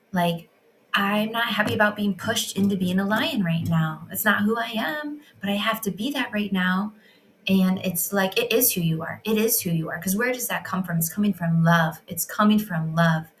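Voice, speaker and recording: Somewhat breathy, this woman's voice shows ordinary pitch variation. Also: medium pitch for a woman, moderate pace. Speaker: women's healing coach. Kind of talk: reflective monologue. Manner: stuttering, hesitating.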